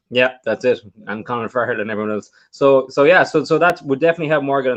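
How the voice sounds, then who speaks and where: A man with an Irish accent, medium pitch, ordinary pitch variation, and a fairly quick pace. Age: 30s. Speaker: magician and podcast co-host. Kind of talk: casual chat.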